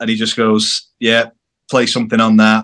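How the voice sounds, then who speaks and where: A man with a northern English accent talks at a moderate pace. His voice is fairly low for a man, with fairly even intonation. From northern England, near Manchester. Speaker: rock band bassist. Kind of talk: casual interview chat. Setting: video call.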